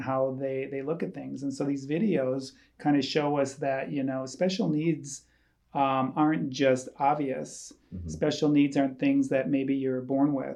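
A man with an Upper Midwest accent and a dark, mellow tone, fairly high in pitch, at a moderate pace with fairly even intonation, over a quiet background. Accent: Upper Midwest American. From rural Wisconsin, near Eau Claire. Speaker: church staff member, foster and adoptive parent. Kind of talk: casual chat.

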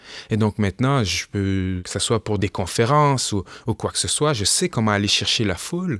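Lively intonation at a moderate pace, with a dry, close sound and no echo. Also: man, fairly low pitch for a man. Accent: Quebec. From Quebec. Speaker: rapper and historian. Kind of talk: interview.

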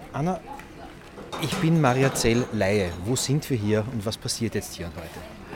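Amid noticeable background noise, a man at a medium pitch speaks fairly slowly with lively intonation and long, frequent pauses. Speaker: podcast host. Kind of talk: on-location reportage.

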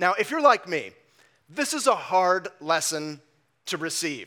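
A man's raised, projected voice with an American accent, bright and sharp in tone, with lively intonation, on a very clean recording with a silent background. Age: 40s. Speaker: pastor. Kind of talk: sermon. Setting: church.

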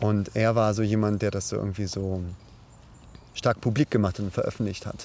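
At a moderate pace, a man with a fairly low voice speaks with fairly even intonation and long, frequent pauses. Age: 30s. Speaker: podcast host, parkour coach and sports student. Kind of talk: casual chat. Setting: outdoors in a forest.

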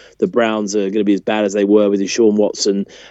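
The speaker goes at a very fast pace with a British accent. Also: man. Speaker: podcast co-host. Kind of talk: casual chat.

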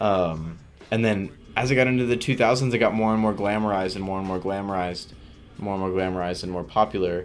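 Talking at a very fast pace, a man with an American accent is heard with audible room echo. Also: fairly even intonation. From San Jose area, California (Milpitas). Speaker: music producer and DJ. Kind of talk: casual interview chat.

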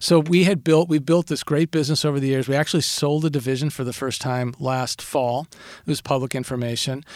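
Fairly quick and fairly high in pitch, a man with an American accent talks with fairly even intonation in an ordinary speaking voice. The recording is very clean, with a silent background. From Minnesota, Saint Paul. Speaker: business executive. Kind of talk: interview. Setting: studio.

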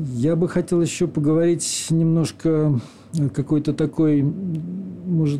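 A somewhat breathy voice with a dark, mellow tone. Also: man. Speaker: radio host. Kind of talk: radio show hosting and interview. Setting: studio.

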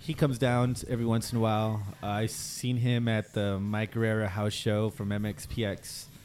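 With a plain, everyday voice, a man of fairly low pitch talks at a moderate pace and with fairly even intonation. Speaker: acoustic musician. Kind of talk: casual chat. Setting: bar.

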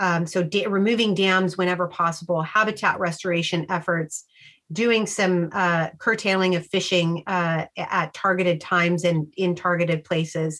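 A woman with an American accent speaks at a moderate pace in a fairly low, flat monotone, her loudness very even, on a very clean recording with a silent background. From Sacramento, California. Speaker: wildlife researcher. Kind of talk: interview.

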